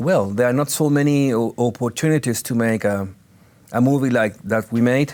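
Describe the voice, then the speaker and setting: The recording is very clean and the background silent. A man speaks at a medium pitch and a moderate pace, his pitch varying in an ordinary way. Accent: Spanish. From Chile, Santiago. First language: Spanish. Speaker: actor. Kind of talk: interview. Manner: halting, with repetitions and fillers.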